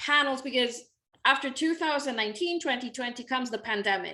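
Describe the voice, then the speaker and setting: With a Spanish accent, a woman talks in a high, bright, sharp voice with lively intonation, on a very clean recording with a silent background. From Mexico. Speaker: literature scholar. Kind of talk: interview conversation.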